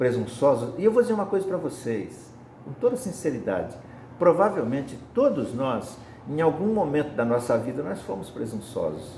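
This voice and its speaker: A man speaks at a moderate pace with a fairly high pitch and very wide pitch swings. Long, frequent pauses break up his speech, and room echo can be heard. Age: 70s. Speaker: spiritist lay preacher. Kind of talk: sermon.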